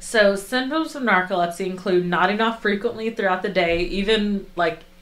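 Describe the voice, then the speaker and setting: A woman's medium-pitched voice at a moderate pace, with ordinary pitch variation and very even loudness, over noticeable background noise. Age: 20s. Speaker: podcast co-host. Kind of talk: casual podcast chat, explaining researched topic.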